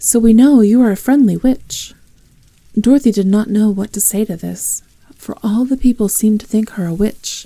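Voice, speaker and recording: Calm and somewhat breathy, a woman speaks at a moderate pace with fairly high pitch, fairly even intonation and a dark, mellow tone. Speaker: ASMR roleplay performer. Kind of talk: audiobook reading. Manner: soft-spoken, calm.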